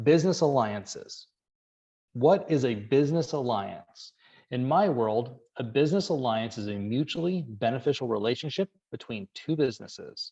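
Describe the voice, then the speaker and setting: With lively intonation, a man speaks at a medium pitch in a dark, mellow tone. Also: moderate pace. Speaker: business coach for real estate agents. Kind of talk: webinar presentation. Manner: animated.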